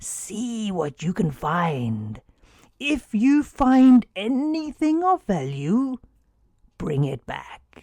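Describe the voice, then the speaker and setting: A put-on character voice at a fairly high pitch, with very wide pitch swings and a very slow pace. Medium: read story. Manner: gentle, unhurried.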